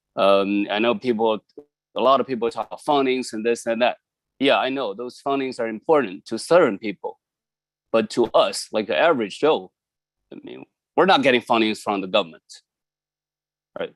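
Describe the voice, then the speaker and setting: At a fairly quick pace, a man with a Chinese accent speaks at medium pitch with ordinary pitch variation, big swings in loudness and long, frequent pauses. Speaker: community member. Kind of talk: public testimony. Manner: halting.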